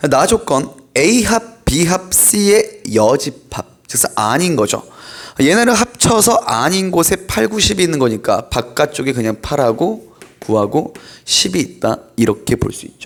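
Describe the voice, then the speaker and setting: Very slowly, a man with a fairly high pitch speaks in very wide pitch swings. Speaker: math tutor. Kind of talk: lecture.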